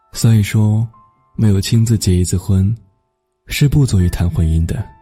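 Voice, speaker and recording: Music plays in the background as a man with a fairly low pitch talks at a very slow pace. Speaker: radio host. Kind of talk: radio narration, personal essay reading.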